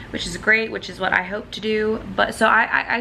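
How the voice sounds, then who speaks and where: A woman mumbles her words at a moderate pace. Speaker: vlogger. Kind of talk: personal vlog. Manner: mumbling.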